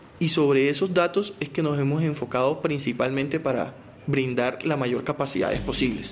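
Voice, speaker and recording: With a Barranquilla accent, a man talks at a moderate pace in a fairly high pitch, with ordinary pitch variation, very even loudness and noticeable background noise. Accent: Barranquilla Caribbean Colombian. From Colombian Caribbean coast, Barranquilla. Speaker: telecom company spokesperson. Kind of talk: technical interview explanation.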